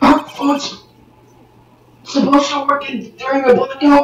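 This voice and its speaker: A put-on character voice, high-pitched, with monotone, flat intonation. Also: moderate pace. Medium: fan dub.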